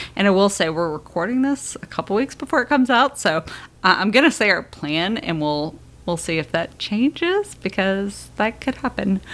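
Swinging very widely in pitch around a medium level, a woman speaks at a moderate pace. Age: 30s. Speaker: podcast co-host and mother. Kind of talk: casual chat.

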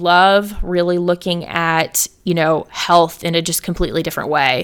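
With an American accent, a woman speaks at a moderate pace in an unremarkable speaking voice, her pitch fairly low. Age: 30s. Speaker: motherhood lifestyle coach. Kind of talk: casual interview chat. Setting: remote call.

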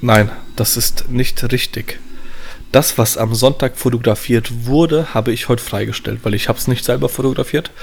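Medium-pitched male voice with vocal fry, a moderate pace and fairly even intonation. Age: 30s. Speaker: wedding photographer. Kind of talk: casual chat.

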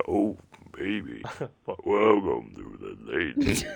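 A man puts on a raspy character voice and delivers it at a very slow pace. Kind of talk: smooth radio voice.

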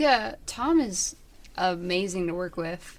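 A woman with a fairly low pitch talks at a fairly slow pace in an American accent, a plain, everyday voice. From Michigan, US Midwest. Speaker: indie band musician and songwriter. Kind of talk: casual interview chat.

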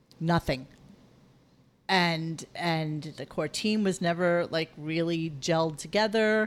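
A woman speaks at a very slow pace with a fairly low pitch and ordinary pitch variation. The recording is very clean, with a silent background. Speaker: podcast host from another show. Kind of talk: casual chat. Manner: fidgety.

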